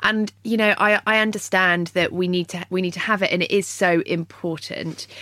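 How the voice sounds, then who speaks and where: Hardly pausing at all, a woman speaks with a British accent. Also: medium pitch for a woman, moderate pace. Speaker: podcast host and runner. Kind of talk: interview, upbeat podcast hosting. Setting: studio. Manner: bright, friendly, enthusiastic.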